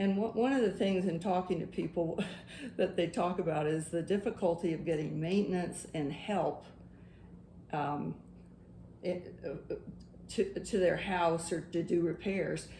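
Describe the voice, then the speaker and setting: Somewhat breathy and dark, mellow in tone, a woman speaks at a fairly low pitch and fairly slow pace with fairly even intonation and long, frequent pauses. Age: old. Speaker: interviewer. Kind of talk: interview question.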